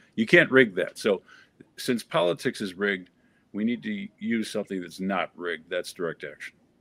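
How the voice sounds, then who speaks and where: A man speaks at a moderate pace, his voice dry and close with no echo. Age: 60s. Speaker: political party chair candidate. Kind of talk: political debate.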